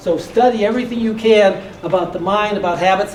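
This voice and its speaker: An American accent at a fairly quick pace, with ordinary pitch variation, audible room echo and noticeable background noise. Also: man. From US Midwest, Detroit. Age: 60s. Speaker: motivational speaker and real estate investor. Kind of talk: motivational talk.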